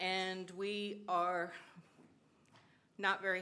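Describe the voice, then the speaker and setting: A bright, sharp tone with an American accent, amid audible room echo. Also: woman. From San Gabriel, California. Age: 60s. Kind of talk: public comment. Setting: city council chamber.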